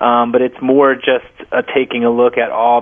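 A man at medium pitch and a moderate pace, with monotone, flat intonation and noticeable background noise. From US Northeast (New Jersey). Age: 30s. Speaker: author and screenwriter. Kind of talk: radio interview.

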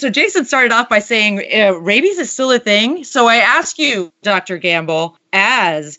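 A woman speaks with an American accent at a moderate pace. Her pitch swings very widely. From United States. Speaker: podcast host. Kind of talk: casual chat.

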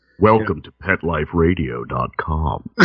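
Using a put-on character voice, a man speaks at a very deep, low pitch and a fairly slow pace with ordinary pitch variation. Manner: polished, professional.

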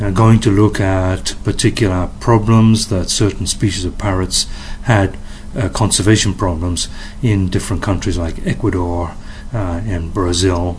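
With an English accent and a very deep, low pitch, a man speaks at a moderate pace with fairly even intonation over noticeable background noise. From England. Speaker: parrot conservation foundation director. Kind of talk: interview. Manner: hesitant with fillers.

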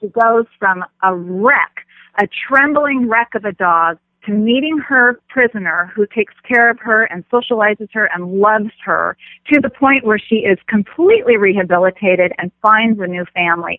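A woman speaks at a moderate pace with ordinary pitch variation in an unremarkable speaking voice. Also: fairly high pitch for a woman. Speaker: film festival director. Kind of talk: casual chat.

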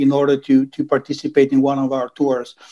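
A man talks with an Italian accent. His tone is dark and mellow. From Italy, Venice. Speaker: travel company executive. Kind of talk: interview. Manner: halting.

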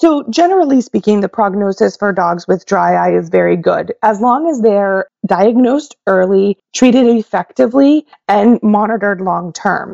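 A woman with an American accent and an ordinary speaking voice talks at medium pitch and a moderate pace, with lively intonation and hardly any pauses. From Oklahoma. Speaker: veterinary ophthalmologist. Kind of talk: interview.

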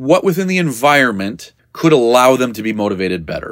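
A man with very wide pitch swings on a very clean recording with a silent background. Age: 40s. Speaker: podcast host, dog trainer business coach. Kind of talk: solo podcast monologue. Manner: casual, conversational with frequent laughs.

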